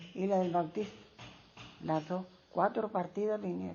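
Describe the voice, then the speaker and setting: The speaker is a woman whose voice sits at a medium pitch. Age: 80s+. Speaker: elderly interviewee. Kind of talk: oral history interview. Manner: halting.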